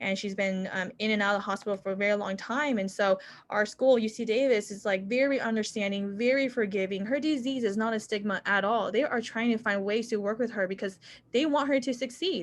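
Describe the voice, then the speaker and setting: With a normal speaking voice, the speaker moves at a fairly quick pace with ordinary pitch variation. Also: woman, fairly high pitch for a woman. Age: 20s. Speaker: medical student. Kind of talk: panel Q&A answer.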